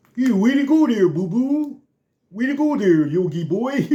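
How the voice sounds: Putting on a character voice, a man talks. The pitch he uses is extremely high. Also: moderate pace.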